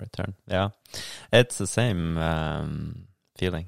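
A man with a Norwegian accent and a very deep, low pitch, at a fairly slow pace, in a dry, close sound with no echo on a very clean recording with a silent background. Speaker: kayaker and local politician. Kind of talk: casual interview chat. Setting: at his home.

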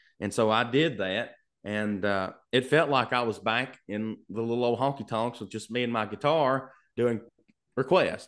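Speaking with a Kentucky accent, a man keeps a medium pitch and ordinary pitch variation. He moves at a moderate pace over a quiet background. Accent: Southern US (Kentucky). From Kentucky, US. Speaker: singer-songwriter. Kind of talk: casual interview chat. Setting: video call from home studio.

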